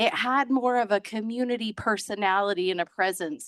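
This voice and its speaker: A woman's fairly high voice, dry and close with no echo, over a quiet background. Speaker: town hall public commenter. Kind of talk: public comment at town hall. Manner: hesitant, many fillers.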